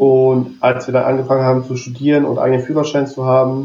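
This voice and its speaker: A man's mid-range voice moves along at a rather brisk pace. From Berlin. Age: 20s. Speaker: wheelchair tennis player and student. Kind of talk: casual interview. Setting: remote call.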